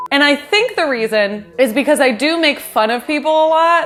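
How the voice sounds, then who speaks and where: Over noticeable background noise, a woman talks at a moderate pace and high pitch with lively intonation, very even loudness and hardly any pauses. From US West Coast, San Fernando Valley, Los Angeles. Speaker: YouTuber, home baker. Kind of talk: casual Q and A vlog. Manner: chill, casual.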